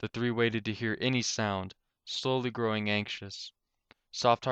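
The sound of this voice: An unforced reading voice delivers the lines with fairly even intonation over a quiet background.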